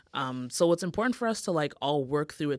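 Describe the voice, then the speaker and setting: A woman's very deep, low voice in a Toronto accent, on a very clean recording with a silent background. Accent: Toronto Canadian English. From Toronto, Canada (Jamaican descent). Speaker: podcast producer and co-host. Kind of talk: casual interview chat.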